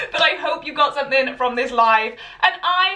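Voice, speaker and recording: High-pitched woman with a Welsh accent, raised and projected voice, very wide pitch swings, and noticeable background noise. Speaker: sewing pattern designer and teacher. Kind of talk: Instagram live tutorial. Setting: live video stream. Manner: chatty, filler-heavy.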